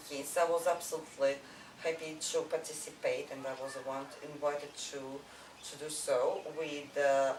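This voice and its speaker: With a Russian accent, a woman speaks at a moderate pace in a very deep, low voice, her intonation monotone and flat, her loudness swinging widely, over noticeable background noise. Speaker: artist. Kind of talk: interview answer.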